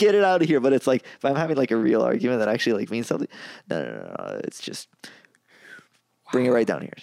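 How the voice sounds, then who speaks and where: The intonation is lively and the pace very fast. Long, frequent pauses break up the speech. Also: man, medium pitch for a man. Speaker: podcast co-host. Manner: fast talker.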